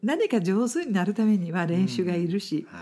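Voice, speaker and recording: A woman speaks with a non-native accent in a dark, mellow tone. Her pitch is medium, her pace moderate, and her pitch variation ordinary. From outside Japan. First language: not Japanese (speaking Japanese). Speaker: businesswoman and podcast host. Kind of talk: interview chat.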